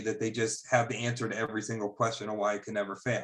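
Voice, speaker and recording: A man speaks with monotone, flat intonation. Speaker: investment banker. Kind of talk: casual chat. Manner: fast.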